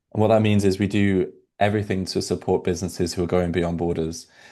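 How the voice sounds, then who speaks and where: In a British accent, a man speaks with a very deep, low pitch and a dark, mellow tone. The background is quiet. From UK. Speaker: product executive. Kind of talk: webinar panel discussion.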